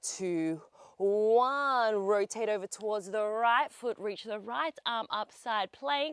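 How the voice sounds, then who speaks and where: A woman with an Australian accent speaks at a very slow pace in a fairly high pitch with an upbeat tone. The recording is very clean, with a silent background and a dry, close sound with no echo. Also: ordinary pitch variation. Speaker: pilates instructor. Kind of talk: guided workout instruction. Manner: upbeat, encouraging.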